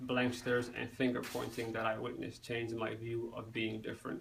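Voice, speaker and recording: Over noticeable background noise, a man of medium pitch speaks at a moderate pace in a monotone, flat intonation. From Somali-born, raised in the United States. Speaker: student. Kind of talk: class speech. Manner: halting, frequent self-corrections.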